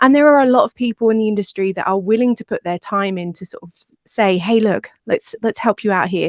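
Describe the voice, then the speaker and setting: Someone with an English accent speaks at a fairly quick pace with big swings in loudness. The recording is very clean and silent in the background, with a dry, close sound and no echo. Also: woman, fairly high pitch for a woman, ordinary pitch variation, hardly any pauses. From England. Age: 40s. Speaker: podcast producer. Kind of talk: interview conversation. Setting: podcast.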